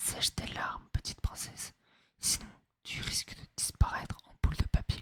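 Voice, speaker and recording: A man whispers at a moderate pace, the sound dry and close with no echo. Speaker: ASMR creator. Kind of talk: read story. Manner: whispered.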